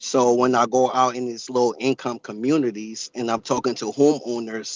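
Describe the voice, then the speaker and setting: A man talks at a moderate pace. His intonation is flat and monotone. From West Africa. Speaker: solar salesperson testifying at public hearing. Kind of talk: public testimony.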